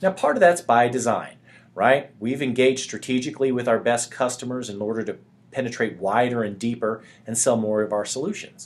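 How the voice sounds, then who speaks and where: A man with an American accent talks at a fairly quick pace, with medium pitch and ordinary pitch variation. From US South. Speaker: sales software presenter. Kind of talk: webinar presentation. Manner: fast.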